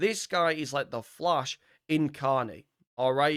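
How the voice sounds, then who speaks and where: A man speaks with ordinary pitch variation. The recording is very clean and dry, close with no echo, over a silent background. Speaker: gaming YouTuber. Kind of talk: gameplay commentary. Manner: fast; casual, chatty.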